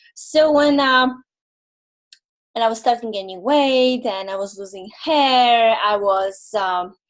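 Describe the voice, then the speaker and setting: The speaker talks with a Polish accent at a very slow pace. Pitch variation is ordinary. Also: woman, fairly high pitch for a woman. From Poland. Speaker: holistic nutrition consultant. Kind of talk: webinar presentation. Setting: online webinar. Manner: halting, many fillers.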